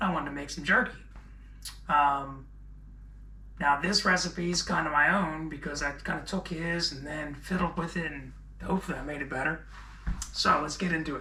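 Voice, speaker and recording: A man speaks at a moderate pace with fairly even intonation and long, frequent pauses. Audible room echo and noticeable background noise surround his voice. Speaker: teacher and home cook. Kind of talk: cooking tutorial. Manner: casual, hesitant with many ums.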